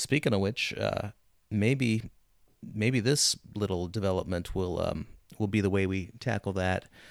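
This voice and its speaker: A man with an unremarkable speaking voice and fairly low pitch talks at a moderate pace with ordinary pitch variation in a very clean recording with a silent background. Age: 40s. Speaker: film podcast co-host. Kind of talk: casual chat.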